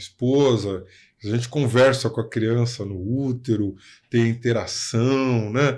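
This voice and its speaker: Here is a man in a normal speaking voice with a medium pitch. His intonation is fairly even, and the recording is very clean with a silent background. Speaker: podcast host, lawyer. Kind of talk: casual interview chat.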